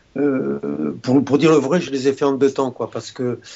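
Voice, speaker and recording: A male voice at a middle pitch comes through with clear noise in the background. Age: 70s. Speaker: retired doctor. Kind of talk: interview. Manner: halting.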